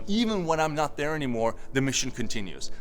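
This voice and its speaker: Very fast speech from a man, with music in the background. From Turkey. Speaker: tech entrepreneur, company co-founder. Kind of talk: interview answer.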